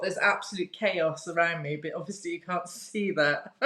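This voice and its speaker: This woman's intonation is lively. Noticeable background noise runs behind her. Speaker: interview guest, alopecia content creator. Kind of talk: casual interview chat.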